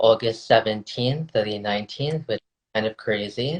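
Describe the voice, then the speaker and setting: With fairly even intonation, a man talks at a moderate pace and a fairly low pitch. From South Florida, Indo-Trinidadian community. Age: 20s. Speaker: podcaster and researcher. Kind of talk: casual interview chat.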